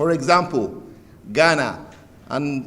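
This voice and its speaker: His pitch varies in an ordinary way as a man talks. The room adds an audible echo. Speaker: development bank director. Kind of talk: formal speech. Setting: conference opening ceremony. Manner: soft-spoken.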